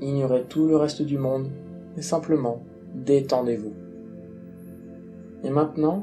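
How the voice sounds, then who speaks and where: Over music in the background, a soothing tone moves at a fairly slow pace with ordinary pitch variation. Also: man. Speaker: hypnosis guide. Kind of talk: guided relaxation. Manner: slow, soothing.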